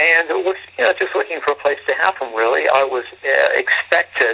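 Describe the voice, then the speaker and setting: A man with an English accent talks at a fairly quick pace. Noticeable background noise runs under his voice. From England. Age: 50s. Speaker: homeless shelter director. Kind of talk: interview.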